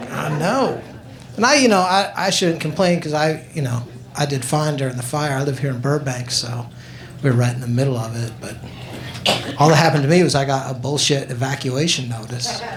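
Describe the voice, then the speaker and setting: A man speaks with noticeable background noise behind him. The room adds an audible echo. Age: 50s. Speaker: stand-up comedian. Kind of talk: stand-up.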